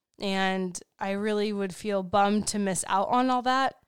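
In a very clean recording with a silent background, a woman with an unremarkable speaking voice talks at a fairly slow pace, at a medium pitch with fairly even intonation. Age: 30s. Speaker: podcast co-host and life coach. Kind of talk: casual chat. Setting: home studio, recorded for livestream.

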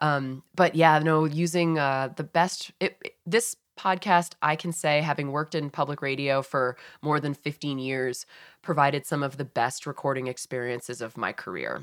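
A woman with an American accent speaks at a moderate pace in a very deep, low pitch, with ordinary pitch variation. The sound is dry and close with no echo, on a very clean recording with a silent background. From Massachusetts. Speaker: public radio and podcast journalist. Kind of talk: interview conversation.

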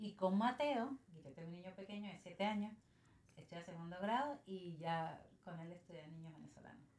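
With a medium pitch and a somewhat breathy voice, a woman speaks at a moderate pace. Her intonation is lively. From Venezuela, San Cristóbal (Táchira). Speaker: small business owner. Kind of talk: casual interview.

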